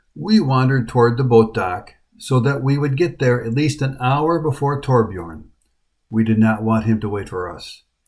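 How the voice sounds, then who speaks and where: A man with a medium pitch and a somewhat breathy voice speaks at a moderate pace with lively intonation on a very clean recording with a silent background. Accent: American. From USA. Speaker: hiking vlogger. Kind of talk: travel vlog narration.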